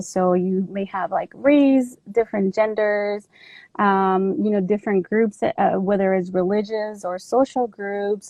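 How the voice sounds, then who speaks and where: Speaking in a Spanish accent, a woman goes at a fairly slow pace with ordinary pitch variation. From Mexico. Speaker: army veteran and advocate. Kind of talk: talk on trauma and intersectionality.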